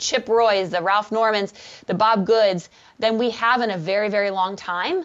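A woman talks fairly slowly in a fairly high pitch with ordinary pitch variation and a normal speaking voice. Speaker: conservative policy think tank staffer. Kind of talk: panel discussion on politics.

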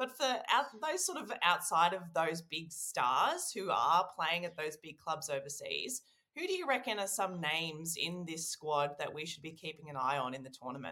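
A woman speaks with an Australian accent and lively intonation. She leaves hardly any pauses. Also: fairly low pitch for a woman, moderate pace. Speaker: podcast co-host. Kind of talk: casual chat.

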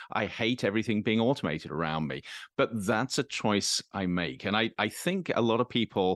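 Over a quiet background, a man with a plain, everyday voice talks fairly quickly with lively intonation, the sound dry and close with no echo. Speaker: university professor. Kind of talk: casual chat.

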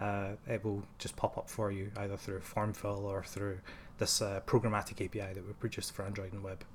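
Somewhat breathy and fairly low-pitched, a man with a Glaswegian accent talks at a fairly quick pace in a monotone, flat intonation. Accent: Glaswegian Scottish. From Scotland, Glasgow. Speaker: software engineer. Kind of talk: technical interview. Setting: office.

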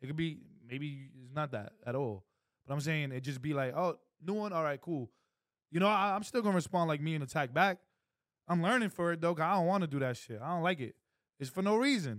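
Talking at a fairly quick pace but with long, frequent pauses, a man with a fairly high voice uses lively intonation. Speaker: podcast co-host. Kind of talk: heated debate. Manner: passionate.

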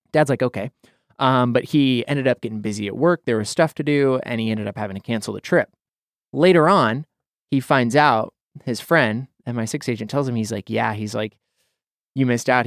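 A normal speaking voice, a man with an American accent at medium pitch with ordinary pitch variation, on a very clean recording with a silent background and a dry, close sound with no echo. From Idaho, US. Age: 20s. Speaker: podcast host. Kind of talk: casual chat. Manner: self-deprecating, joking.

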